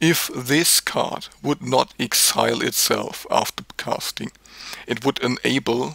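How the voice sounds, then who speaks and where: Over noticeable background noise, a man with a German accent speaks at a fairly slow pace with ordinary pitch variation in a dry, close sound with no echo. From Germany. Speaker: card game video creator. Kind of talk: opinion video monologue. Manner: animated.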